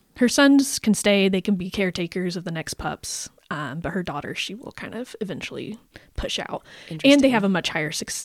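A woman at medium pitch, fairly quick in pace, with very wide pitch swings. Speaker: podcast co-host presenting research on painted dogs. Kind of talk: casual chat.

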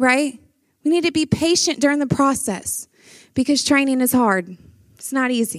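A woman in a Louisiana accent, high-pitched with lively intonation and long, frequent pauses, on a very clean recording with a silent background. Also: moderate pace. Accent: Southern US (Louisiana). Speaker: pastor. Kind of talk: conference talk.

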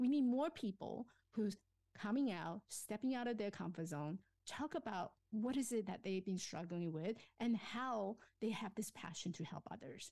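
A woman with a dark, mellow tone at a fairly high pitch, lively intonation and a moderate pace. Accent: Chinese. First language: Chinese. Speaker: life coach and author. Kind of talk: interview. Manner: self-effacing, hesitant with fillers.

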